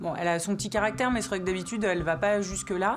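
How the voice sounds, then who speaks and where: A woman at medium pitch and a very fast pace, with music in the background and audible room echo. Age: 30s. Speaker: veterinarian. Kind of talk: documentary interview.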